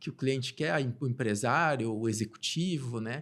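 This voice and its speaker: A man is speaking. His voice is somewhat breathy. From southern Brazil, Rio Grande do Sul (Santa Maria). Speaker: tax consulting partner. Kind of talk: interview podcast conversation.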